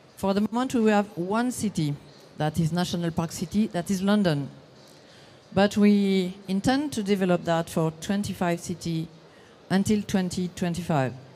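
A woman speaks with a French accent at a medium pitch and a fairly slow pace. Her tone is dark and mellow, with ordinary pitch variation. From France. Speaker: session moderator, parks association representative. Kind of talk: conference presentation. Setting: conference session with audience. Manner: halting.

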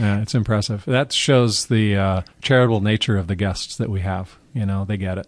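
A man with an American accent speaks at a fairly low pitch and moderate pace, with ordinary pitch variation and hardly any pauses, over a quiet background. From Carmel, California. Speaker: car event founder. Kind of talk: interview.

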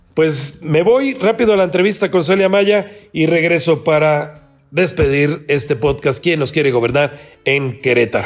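Over noticeable background noise, a man with a fairly high pitch speaks at a fairly slow pace, his loudness very even and his intonation lively. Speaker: political podcast host. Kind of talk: political commentary and interview.

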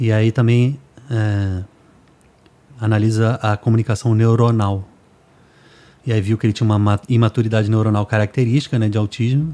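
A man speaks at a medium pitch with a dark, mellow tone and monotone, flat intonation, his loudness very even. The sound is dry and close with no echo, and he leaves long, frequent pauses. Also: moderate pace. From Brazil, Rio de Janeiro. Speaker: music producer and podcast host. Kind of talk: casual chat.

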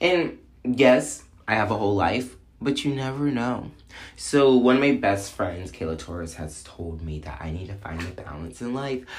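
Animated and somewhat breathy, a man with a fairly low pitch speaks at a moderate pace, with very wide pitch swings, big swings in loudness and audible room echo. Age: 20s. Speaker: podcast host. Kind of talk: casual monologue.

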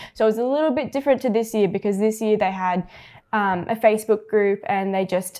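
A woman speaks very fast in an Australian accent. Her fairly high pitch carries a dark, mellow tone. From Australia, Penrith (western Sydney). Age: 18. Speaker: young photographer and videographer. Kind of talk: casual interview chat. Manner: laughs often.

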